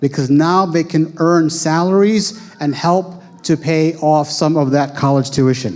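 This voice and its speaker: A man with an American accent talks fairly slowly at a fairly high pitch, with fairly even intonation and very even loudness. Noticeable background noise is present. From United States. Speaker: Islamic school founder and educator. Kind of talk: talk presenting school programs.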